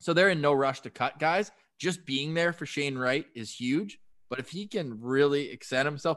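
A man's unremarkable speaking voice with a Canadian accent, lively intonation and a moderate pace. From Canada, Ottawa. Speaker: sports radio host. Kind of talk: casual chat.

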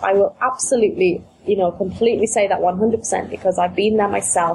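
A woman speaks at a moderate pace with a medium pitch and ordinary pitch variation. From UK. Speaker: business coach. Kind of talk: interview, business podcast.

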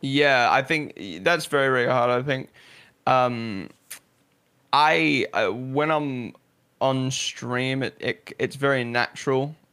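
Speaking very slowly, a man with a slight New Zealand accent has a bright, sharp tone and a medium pitch. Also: ordinary pitch variation. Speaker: esports content creator and streamer. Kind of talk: casual interview chat.

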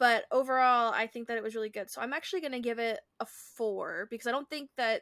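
Recorded very cleanly against a silent background, with a dry, close sound and no echo, a woman speaks fairly quickly in a high pitch with a bright, sharp tone. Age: 20s. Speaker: book podcast co-host. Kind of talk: casual chat.

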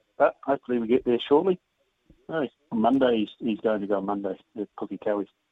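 A man with a New Zealand accent talks at a very fast pace. His pitch is medium, with ordinary pitch variation. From New Zealand, Hawke's Bay. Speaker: professional cricketer and horse breeder. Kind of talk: interview. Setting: phone call.

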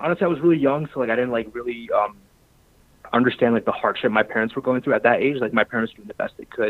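His pitch is medium. The man talks at a very fast pace. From US Midwest (Michigan, Chicago), born in Pakistan. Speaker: finance professional sharing life story. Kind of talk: interview.

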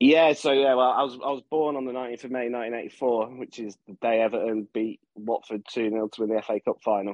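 At a fairly quick pace, a man talks in an ordinary speaking voice of medium pitch. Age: 30s. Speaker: Everton fan podcast guest. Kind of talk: casual chat.

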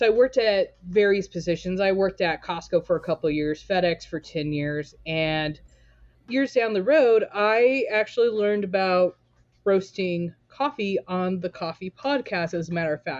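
Speaking in a plain, everyday voice with an American accent, a woman keeps a medium pitch, a moderate pace and lively intonation. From Southern California, Torrance. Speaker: coffee roaster and business owner. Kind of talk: casual interview.

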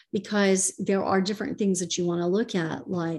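A woman has an ordinary speaking voice with a fairly low pitch. She talks at a moderate pace. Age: 50s. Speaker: real estate investor. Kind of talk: interview.

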